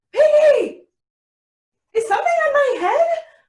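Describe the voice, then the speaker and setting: This put-on character voice is squeaky and extremely high-pitched, moving at a moderate pace. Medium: read story. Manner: worried, fretful.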